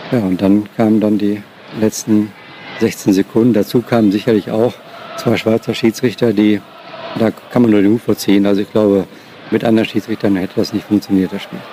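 With noticeable background noise behind him, a man speaks at a moderate pace in a fairly low pitch and a monotone, flat intonation. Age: 50s. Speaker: former radio sports reporter. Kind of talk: interview recollection.

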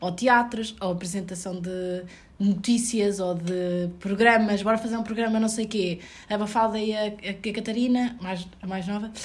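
With a European Portuguese accent, a woman speaks at a moderate pace in a medium-pitched, somewhat breathy voice with fairly even intonation, and the room echo is audible. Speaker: returning guest, friend of host. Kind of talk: casual chat. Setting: at home.

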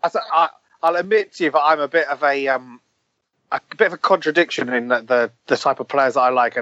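Fairly quick and fairly high, this man has an unremarkable speaking voice with ordinary pitch variation. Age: 20s. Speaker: football podcaster. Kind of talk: casual chat.

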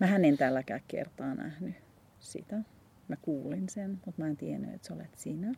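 A woman with a dark, mellow tone and vocal fry speaks at a moderate pace and fairly low pitch, her intonation lively. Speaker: podcast host. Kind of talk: casual chat. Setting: outdoors. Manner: stammering.

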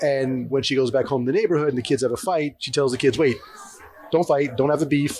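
A man talks at a fairly high pitch. Noticeable background noise runs underneath. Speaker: comics artist and author. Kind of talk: interview. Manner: casual.

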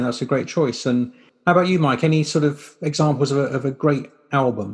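With a British accent, a man speaks at a fairly quick pace in a fairly high, somewhat breathy voice with fairly even intonation. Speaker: podcast host. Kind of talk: casual interview.

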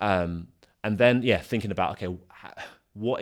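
A man in a London accent, moderate pace, ordinary pitch variation. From South London. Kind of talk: interview conversation. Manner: hesitant, many filler ums.

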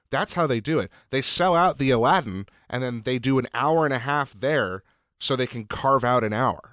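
With ordinary pitch variation and a moderate pace, a man speaks in an unremarkable speaking voice. The recording is very clean, its background silent. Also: medium pitch for a man. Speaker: podcast producer and co-host. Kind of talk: casual chat.

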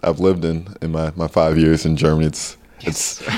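Moderate pace from a male speaker with an American accent. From US, New Jersey. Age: 20s. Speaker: professional basketball player. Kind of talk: casual interview.

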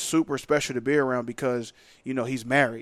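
Fairly quick and fairly even in intonation, a man with an American accent and an ordinary speaking voice talks at a fairly high pitch on a very clean recording with a silent background. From US Northeast, Philadelphia. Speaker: professional football player. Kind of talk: podcast interview. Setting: studio.

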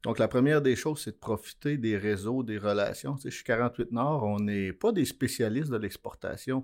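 A man with a medium pitch talks at a moderate pace with ordinary pitch variation and hardly any pauses. The recording is very clean, with a silent background. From Quebec, Abitibi-Témiscamingue. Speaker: mining business executive. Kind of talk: interview. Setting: studio. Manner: halting.

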